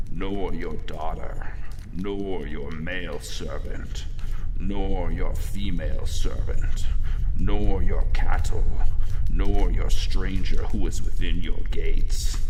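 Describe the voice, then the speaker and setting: A man puts on a character voice at a very slow pace. Loud noise fills the background. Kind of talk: biblical scripture drama. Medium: audio drama. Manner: solemn, authoritative, commanding.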